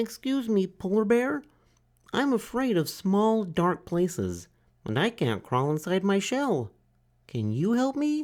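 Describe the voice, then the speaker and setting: At a fairly slow pace and middle pitch, a put-on character voice comes through in a very clean recording with a silent background. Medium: read story. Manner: polite, timid.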